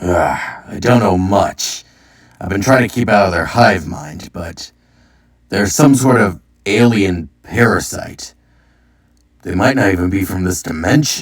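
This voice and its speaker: A man puts on a raspy character voice at a fairly low pitch. He leaves long, frequent pauses. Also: fairly slow pace. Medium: read story. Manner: joking, flippant.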